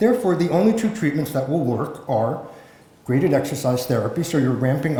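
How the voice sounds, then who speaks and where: Speaking fairly quickly with an American accent, a man comes through noticeable background noise and audible room echo. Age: 60s. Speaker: journalist and public health academic. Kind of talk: conference talk.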